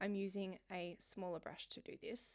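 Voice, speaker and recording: Woman's voice at medium pitch, gentle in tone, with fairly even intonation. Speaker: watercolour art teacher. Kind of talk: painting tutorial voiceover.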